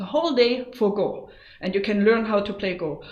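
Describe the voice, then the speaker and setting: A woman's fairly high voice at a moderate pace, with audible room echo. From Germany. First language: German. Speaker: go teacher. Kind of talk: tutorial. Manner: casual, lots of fillers.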